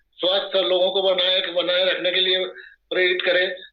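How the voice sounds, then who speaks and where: A man is speaking. Audible room echo can be heard. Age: 70s. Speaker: water device distributor's father, user. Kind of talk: testimony. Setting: video call.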